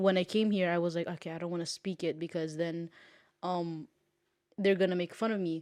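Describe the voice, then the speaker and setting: A woman's fairly low, flat monotone in a Curaçao accent, fairly quick in pace but broken by long, frequent pauses. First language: Papiamento. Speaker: podcast co-host. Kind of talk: casual chat. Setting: home studio on a couch.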